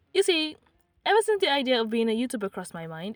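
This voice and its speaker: Her pitch swinging very widely, a woman speaks at a very fast pace in a dry, close sound with no echo. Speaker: YouTuber, artist and writer. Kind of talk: casual vlog introduction. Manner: alternating annoyed and apathetic tone.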